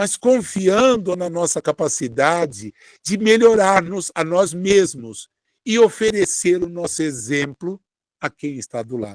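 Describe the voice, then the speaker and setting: A man with a high voice speaks at a fairly slow pace, his pitch swinging very widely, in a dry, close sound with no echo. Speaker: spiritist speaker. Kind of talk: sermon. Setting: online broadcast.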